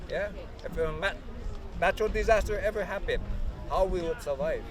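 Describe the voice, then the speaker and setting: A man talks at a fairly quick pace. Crowd noise carries in the background. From Hawaii. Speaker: taro farmer and workshop speaker. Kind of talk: public talk. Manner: halting.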